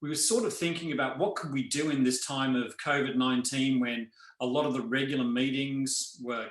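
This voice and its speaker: This man speaks with an Australian accent at a medium pitch. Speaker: nonprofit chief scientific officer. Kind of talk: online town hall presentation.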